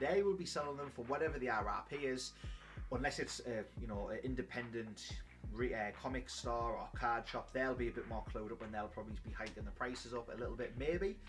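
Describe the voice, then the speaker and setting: A man talks in a strong British accent while music plays in the background. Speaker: YouTuber, trading card collector. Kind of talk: casual vlog commentary.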